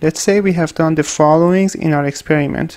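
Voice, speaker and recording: A man with a fairly high pitch and a non-native accent. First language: not English. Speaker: researcher and tutorial maker. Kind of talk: tutorial.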